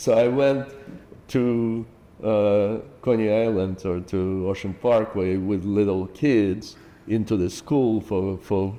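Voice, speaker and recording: With a Russian accent, a man talks at a very slow pace, his fairly low voice dark and mellow and his intonation fairly even. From Ukraine. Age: 60s. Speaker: parent and community builder. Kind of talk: interview. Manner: halting.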